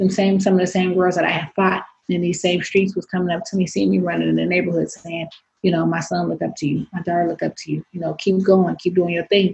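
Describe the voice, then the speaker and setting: A woman with a Bay Area accent at a very fast pace. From San Francisco, Bay Area. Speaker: professional boxer. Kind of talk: interview. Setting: video recording.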